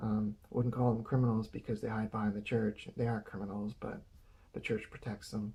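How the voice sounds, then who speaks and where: Somewhat breathy and dark, mellow in tone, a man at medium pitch talks at a moderate pace with monotone, flat intonation. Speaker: video blogger. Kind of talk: casual monologue. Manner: halting.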